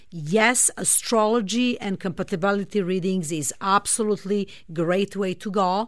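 A woman speaks in a Serbian accent at a medium pitch. The recording is very clean, with a silent background. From Serbia, Belgrade. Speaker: astrologer and spiritual healer. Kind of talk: radio interview.

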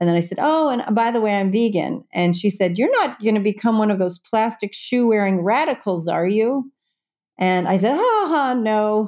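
With an American accent, a woman speaks in an ordinary speaking voice at a fairly high pitch, with ordinary pitch variation, very even loudness and a moderate pace. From Indiana, US Midwest (Evansville). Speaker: documentary filmmaker and author. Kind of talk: casual interview. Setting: remote call from home.

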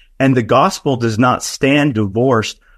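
A man with an ordinary speaking voice talks at a moderate pace, his medium pitch showing ordinary variation over a quiet background. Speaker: political and theological commentator. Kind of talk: interview.

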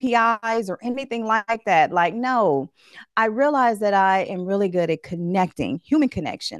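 A woman talks at a moderate pace with a fairly high pitch and lively intonation. The sound is dry and close with no echo, and the background is quiet. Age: 40s. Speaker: relationship coach. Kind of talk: interview. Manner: animated.

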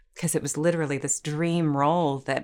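A woman talks in an ordinary speaking voice. Her pace is moderate. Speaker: actor. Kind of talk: casual interview chat.

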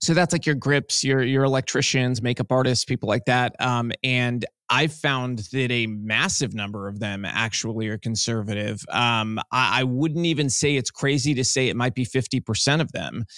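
Speaking at a moderate pace with hardly any pauses, a man shows a medium pitch and ordinary pitch variation. His tone is bright and sharp, with a dry, close sound and no echo. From US, Cuban-American family. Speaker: filmmaker. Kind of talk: interview.

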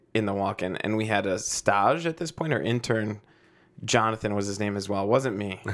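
On a very clean recording with a silent background, a man with a normal speaking voice talks at a moderate pace in a fairly low pitch with ordinary pitch variation. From Chicago, south side, Mexican-American family. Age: 30s. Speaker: chef. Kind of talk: casual chat.

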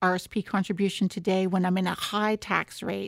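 A woman with a Canadian accent and a plain, everyday voice, medium pitch, moderate pace, dry, close sound with no echo, very clean recording with a silent background. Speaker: tax and retirement researcher. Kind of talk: expert interview.

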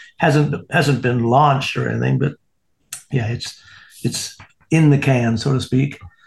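A man speaks slowly at medium pitch with vocal fry. His intonation is fairly even, with long, frequent pauses. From Canada. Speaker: podcast co-host, graphic artist. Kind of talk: casual interview chat.

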